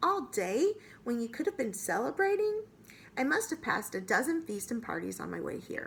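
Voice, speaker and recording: Putting on a character voice, a woman speaks raspy and high at a moderate pace, in a gentle, amused tone with very wide pitch swings. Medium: read story.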